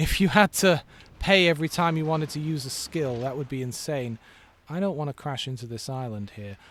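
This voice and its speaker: In an English accent, a man with a fairly high pitch talks at a moderate pace with lively intonation. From England. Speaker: video game streamer. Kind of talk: casual gameplay commentary. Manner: halting, frequent fillers and repeats.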